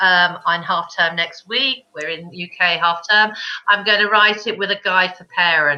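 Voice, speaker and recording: A woman with a British accent, fairly slow, in a bright, sharp tone with ordinary pitch variation. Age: 50s. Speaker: children's book author. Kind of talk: casual chat. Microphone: connection froze.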